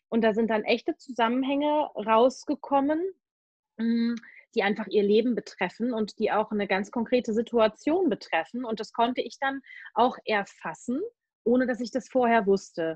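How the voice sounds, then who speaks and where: Her voice fairly high, a woman speaks at a moderate pace with ordinary pitch variation in an unremarkable speaking voice. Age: 40s. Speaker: animal communicator and medium. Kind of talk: casual interview.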